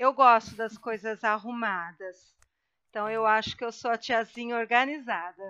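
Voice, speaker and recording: A normal speaking voice from a woman, fairly high in pitch, fairly slow, with fairly even intonation, a dry, close sound with no echo and a quiet background. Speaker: guest, host's mother. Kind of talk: casual chat.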